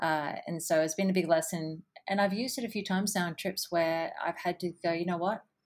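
A woman with an Australian accent delivers her words at a fairly quick pace. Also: fairly low pitch for a woman, fairly even intonation. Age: 30s. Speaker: adventure photographer. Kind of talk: interview.

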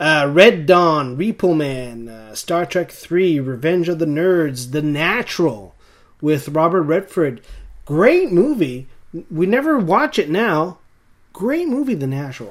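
With an American accent and a plain, everyday voice, a man speaks at a fairly slow pace, with lively intonation and a fairly high pitch. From eastern Canada, rural area along the US border. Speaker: podcast co-host. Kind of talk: casual chat.

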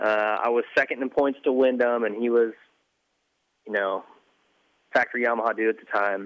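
A man with an American accent at a medium pitch, fairly quick but broken by long, frequent pauses, in a flat monotone. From Montana. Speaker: former motocross racer and team manager. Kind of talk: casual chat.

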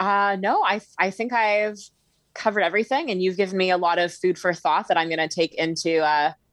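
A woman with an unremarkable speaking voice talks at a fairly quick pace in a medium pitch with ordinary pitch variation over a quiet background. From Ontario, Canada. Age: 30s. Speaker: TV podcast guest. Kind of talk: casual chat.

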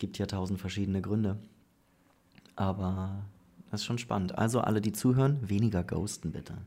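With a dark, mellow tone and fairly even intonation, a man speaks with long, frequent pauses. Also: fairly low pitch for a man, fairly quick pace. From northern Germany. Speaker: podcast host. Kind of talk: casual interview. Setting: studio, face to face.

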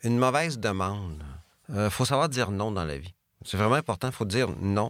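In a Beauce accent, a man speaks at a fairly low pitch with ordinary variation. The recording is very clean, with a silent background. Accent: Quebec French, Beauce. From Quebec, Beauce. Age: 50s. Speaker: business executive. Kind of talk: interview.

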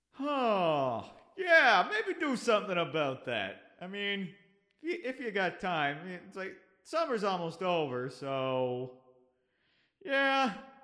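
Putting on a character voice, a man speaks high and fairly slowly, with very wide pitch swings and a clear echo. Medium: actual play. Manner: casual, rambling.

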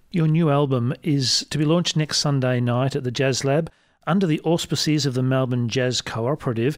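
An ordinary speaking voice, a man at a fairly high pitch with ordinary pitch variation and a moderate pace. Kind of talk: radio DJ patter, smooth on-air announcing of guest and station.

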